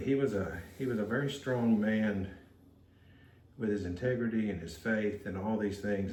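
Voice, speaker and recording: With audible room echo, a man speaks in a somewhat breathy, relaxed tone, with fairly low pitch and ordinary pitch variation. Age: 60s. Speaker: potter. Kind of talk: casual chat. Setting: pottery studio. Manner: relaxed, hesitant.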